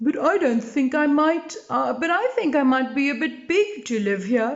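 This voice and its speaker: Pitched high for a woman, a female-sounding voice puts on a character. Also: moderate pace. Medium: read story. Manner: emotional, sniffling.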